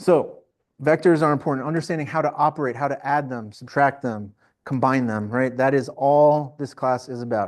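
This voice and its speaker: A man with an American accent speaks in a normal speaking voice, pitched fairly high. His pitch varies in an ordinary way against a quiet background. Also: moderate pace. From New Jersey. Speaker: engineering professor. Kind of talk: lecture. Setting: classroom.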